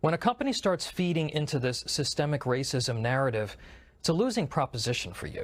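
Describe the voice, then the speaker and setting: Over a very clean recording with a silent background, a man with a fairly high pitch and a somewhat breathy voice talks at a fairly quick pace. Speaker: political commentator. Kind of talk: opinion commentary to camera.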